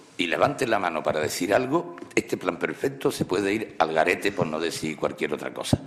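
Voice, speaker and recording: The speaker has an Andalusian accent. There is noticeable noise in the background. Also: man. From Andalusia, Spain. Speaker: professor of Spanish language and literature. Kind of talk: humorous public lecture. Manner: humorous, conversational.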